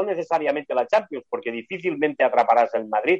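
The man talks at a very fast pace. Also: dry, close sound with no echo. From Barcelona, Spain. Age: 60s. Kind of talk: casual chat. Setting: video call. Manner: fluent talker.

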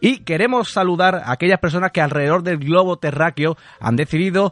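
A man with a high pitch speaks at a moderate pace, the sound dry and close with no echo. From Andalusia, Huelva province. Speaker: carnival radio show host. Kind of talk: casual radio chat and interview.

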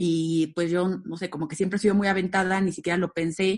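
A woman talks in a flat, monotone way at a fairly low pitch, over a quiet background. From Mexico, Aguascalientes. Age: 30s. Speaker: event company co-founder. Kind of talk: casual interview.

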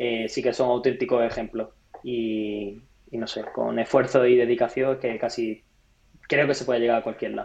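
The man's intonation is monotone and flat, his pitch medium, and his pace moderate. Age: 20s. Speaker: entrepreneur and former pro triathlete. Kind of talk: interview.

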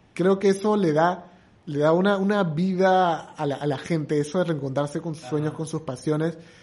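At a moderate pace, a man talks in a plain, everyday voice with a fairly high pitch, over a quiet background. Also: fairly even intonation. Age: 30s. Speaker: comedian and entrepreneur. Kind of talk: casual chat.

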